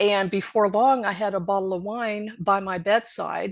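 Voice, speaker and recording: A woman speaks at medium pitch with vocal fry. The background is quiet. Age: 60s. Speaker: podcast guest in recovery. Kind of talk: personal testimony.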